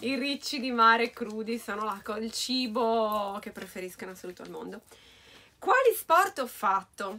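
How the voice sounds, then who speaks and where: Speaking at a moderate pace in a Sardinian accent, a woman shows ordinary pitch variation and big swings in loudness. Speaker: beauty YouTuber. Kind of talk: casual talk to camera. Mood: cheerful, playful. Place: home room. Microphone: camera far.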